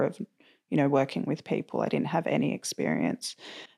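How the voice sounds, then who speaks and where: A woman with an Australian accent talks at a very fast pace. There is vocal fry in her voice, and the background is quiet. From Australia, Sydney. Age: 20s. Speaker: mental health advocate. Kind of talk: personal testimony. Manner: animated.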